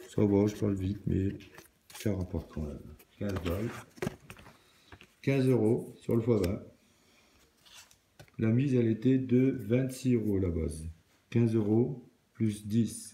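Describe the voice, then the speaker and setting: A man with a fairly low pitch talks very slowly, with ordinary pitch variation. He takes long, frequent pauses. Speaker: scratch card video creator. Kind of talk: casual solo commentary.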